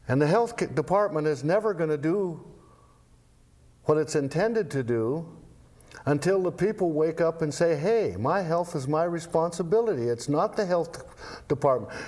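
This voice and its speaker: A man talks at a high pitch with very even loudness. He leaves long, frequent pauses. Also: ordinary pitch variation, moderate pace. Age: 70s. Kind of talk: casual interview. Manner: halting, repeats words.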